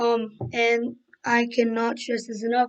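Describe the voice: At a moderate pace, a woman talks in a fairly high pitch with little pitch movement.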